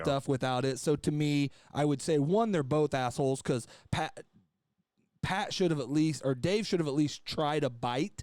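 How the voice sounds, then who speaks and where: A man with a normal speaking voice talks at a moderate pace and a fairly high pitch. His pitch variation is ordinary, and his loudness stays very even. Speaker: podcast host. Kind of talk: casual podcast conversation.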